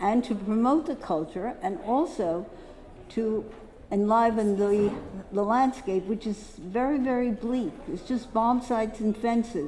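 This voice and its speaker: A woman with an American accent has a normal speaking voice. She talks fairly slowly in a fairly high pitch with ordinary pitch variation. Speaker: poster dealer giving a symposium talk. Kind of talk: lecture. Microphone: echo.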